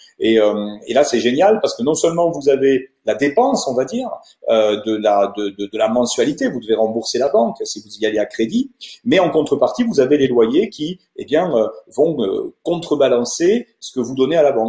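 In a room with audible echo, a man with a dark, mellow tone speaks at a moderate pace, his pitch swinging very widely. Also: quiet background. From Toulouse, southern France; southern France. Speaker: wealth management adviser; presenter. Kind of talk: webinar presentation. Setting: video conference webinar. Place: office. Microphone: earbuds.

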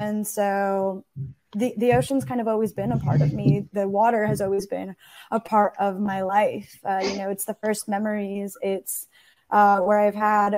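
Speaking at a moderate pace, a woman keeps to a medium pitch with little pitch movement and a slightly mellow tone.

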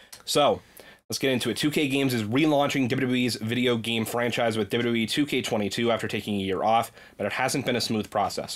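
A man talks at an average speed, his intonation fairly level, with the background quiet. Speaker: podcast host. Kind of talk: casual chat. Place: home room. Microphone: studio mic.

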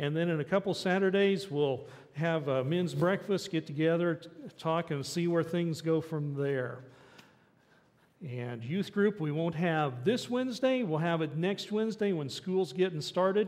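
A fairly slow man's voice, high in pitch, its pitch varying in an ordinary way. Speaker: pastor. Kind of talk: church announcements and welcome. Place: church.

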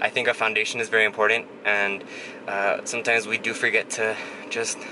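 With noticeable background noise, a man speaks at a moderate pace. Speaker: vlogger. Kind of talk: casual vlog chat. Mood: calm, reflective, motivational. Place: car. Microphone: phone near.

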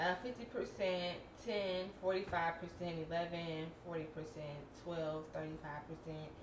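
A woman speaks over noticeable background noise. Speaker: lifestyle vlogger. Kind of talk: casual vlog chat. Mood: relaxed, mildly frustrated. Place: kitchen. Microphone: camera far.

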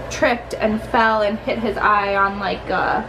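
A woman speaks over noticeable background noise. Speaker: family vlogger. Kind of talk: casual vlog chat. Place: home room. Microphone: phone near.

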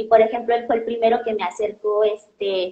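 A woman speaks in a Mexican accent at a moderate pace and fairly high pitch. Her intonation is fairly even, and the room echo is audible. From Mexico. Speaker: doctoral student in biology; interviewee. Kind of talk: interview. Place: home room. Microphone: earbuds.

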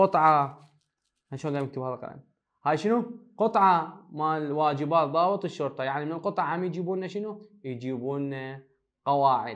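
A man talks moderately paced, his fairly high pitch showing ordinary pitch variation. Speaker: high school English teacher. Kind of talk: lecture.

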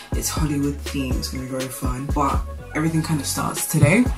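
Clear music plays in the background as a woman speaks at a very fast pace. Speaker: vlogger. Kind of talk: casual vlog chat. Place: kitchen. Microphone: phone near.

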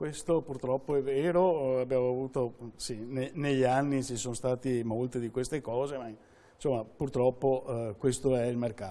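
A man's medium-pitched voice with a dark, mellow tone, fairly even intonation and a moderate pace. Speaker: consumer association president. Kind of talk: informative interview. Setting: studio. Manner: halting, repeats words. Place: studio.

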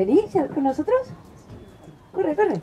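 A woman over light background noise. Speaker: storyteller. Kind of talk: storytelling performance for children.

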